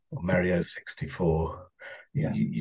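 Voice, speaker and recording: Here a man talks in a southern English accent. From southern England, Kent. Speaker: composer and orchestral arranger. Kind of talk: casual interview.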